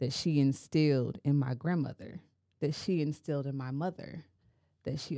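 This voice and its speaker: A woman's very deep, low voice with a dark, mellow tone, fairly even intonation and a moderate pace, in a very clean recording with a silent background. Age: 30s. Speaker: podcast host. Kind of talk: casual chat.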